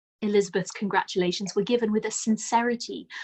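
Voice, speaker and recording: A woman's somewhat breathy voice at a fairly high pitch. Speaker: audiobook narrator. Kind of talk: classic novel read aloud.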